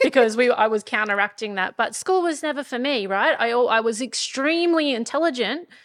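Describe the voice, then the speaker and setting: A woman speaks at a fairly quick pace with a high pitch and lively intonation. The recording is very clean, with a silent background. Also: hardly any pauses. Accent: Australian country. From rural Australia. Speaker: podcast co-host, entrepreneur. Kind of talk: casual chat. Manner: animated.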